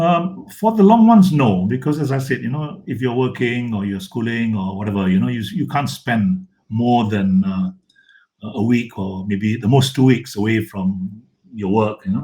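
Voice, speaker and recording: Somewhat breathy and dark, mellow in tone, a man speaks at a medium pitch with lively intonation. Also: moderate pace. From Malaysia. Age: 70s. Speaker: photographer. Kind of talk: interview conversation.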